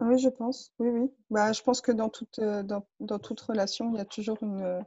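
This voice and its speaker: A woman's somewhat breathy, fairly high voice with fairly even intonation. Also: moderate pace. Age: 30s. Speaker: coaching client. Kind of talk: personal testimony interview. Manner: hesitant, many fillers.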